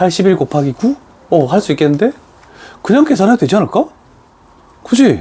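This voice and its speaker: A man speaks in an animated tone. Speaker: math teacher. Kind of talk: classroom lecture.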